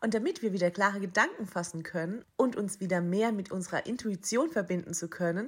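Speaking at a fairly quick pace, a woman with a medium-pitched, somewhat breathy voice uses lively intonation. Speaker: spiritual mentor and podcast host. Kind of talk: guided meditation. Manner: soft, gentle, hushed with long pauses.

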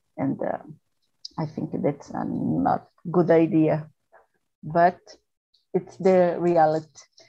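Very slowly, a woman with a fairly low pitch speaks in monotone, flat intonation and leaves long, frequent pauses. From Brazil, Sao Paulo. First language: Portuguese. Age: 40s. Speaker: procurement manager. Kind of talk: casual English practice conversation. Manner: halting, many fillers.

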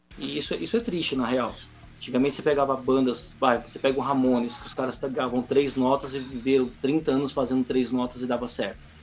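A man speaks at a fairly quick pace, his pitch medium and his intonation flat and monotone. Noticeable background noise runs underneath. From São Paulo, Brazil. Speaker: metal band musician. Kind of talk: casual chat.

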